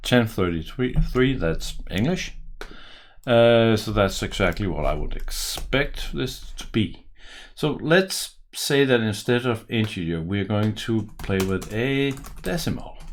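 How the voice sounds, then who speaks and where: A man speaks with a strong Danish accent. His pace is very slow. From Denmark. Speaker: software developer and tutorial maker. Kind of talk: coding tutorial; tutorial. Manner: casual, thinking aloud with hesitations.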